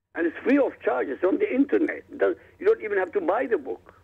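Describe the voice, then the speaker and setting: A man speaks with an Arabic accent. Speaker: author. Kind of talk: radio interview.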